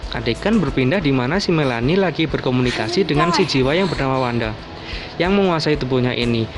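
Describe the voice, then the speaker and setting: Talking at a very fast pace, a man with a fairly high pitch and lively intonation keeps his loudness very even, with music behind him and audible room echo. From Java, Indonesia. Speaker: film recap youtuber. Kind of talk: film plot recap narration.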